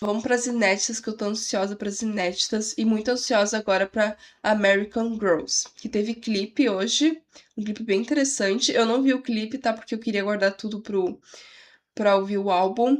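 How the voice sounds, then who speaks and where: Quiet and fairly high in pitch, a woman speaks at a moderate pace with fairly even intonation. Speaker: music reaction youtuber. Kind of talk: casual reaction video. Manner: quiet voice.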